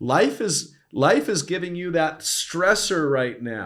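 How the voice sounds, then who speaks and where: A man speaks in an animated tone. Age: 60s. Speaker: performance coach. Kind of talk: podcast interview.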